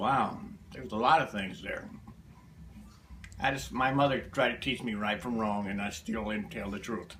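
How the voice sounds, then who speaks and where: A man with an American accent and a bright, sharp tone, medium in pitch with ordinary pitch variation, at a moderate pace with long, frequent pauses, amid audible room echo. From US South, Alabama. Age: 70s. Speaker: interviewee, family elder. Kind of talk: family history interview. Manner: terse, plain-spoken.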